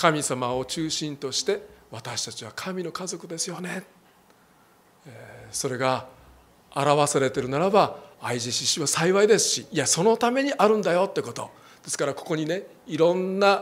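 A man's high voice with lively intonation, big swings in loudness and a moderate pace. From Japan. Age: 60s. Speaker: pastor. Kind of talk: sermon. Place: church. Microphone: handheld.

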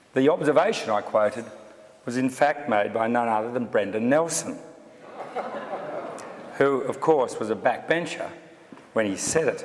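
Noticeable background noise runs beneath speech at a moderate pace. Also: man. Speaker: speaker. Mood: dry humour. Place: hall. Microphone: podium.

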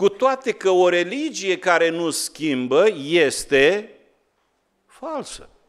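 A man at a high pitch with very wide pitch swings, speaking at a very slow pace against a quiet background. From Romania. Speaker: pastor. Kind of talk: sermon. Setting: church. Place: church. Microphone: podium.

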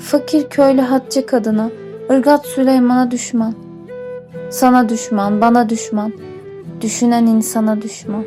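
Over music in the background, a woman with a fairly high pitch speaks at a fairly slow pace with ordinary pitch variation. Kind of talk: poetry reading.

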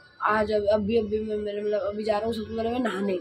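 Noticeable background noise behind a man at a moderate pace. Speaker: vlogger. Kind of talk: casual vlog chat. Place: home room. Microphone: phone near.

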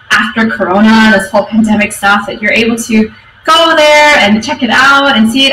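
A woman speaks at a moderate pace with ordinary pitch variation, with audible room echo and light background noise. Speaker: conference speaker. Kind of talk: conference talk. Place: office. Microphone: webcam.

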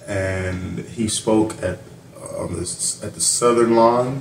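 Against light background noise and audible room echo, a man speaks at a fairly low pitch with ordinary pitch variation. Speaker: YouTube reaction channel host. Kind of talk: reaction commentary. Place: home room. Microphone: webcam.

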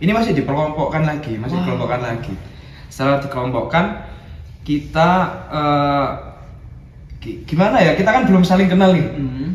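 A man speaks at a fairly high pitch with long, frequent pauses. Audible room echo is present. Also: lively intonation, moderate pace. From Malang Regency, East Java, Indonesia; East Java, Indonesia. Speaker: college student, former event organizer; guest. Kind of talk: casual chat. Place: home room.

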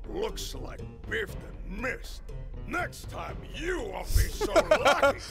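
Clear music plays behind a man doing a put-on character voice. He speaks at an extremely high pitch and a fairly slow pace. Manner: menacing, taunting.

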